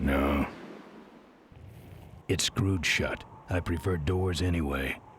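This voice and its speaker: Using a put-on character voice, a man speaks with a very deep, low pitch and a deadpan tone at a fairly slow pace, with long, frequent pauses and clear background noise. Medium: video game. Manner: terse, gravelly deadpan.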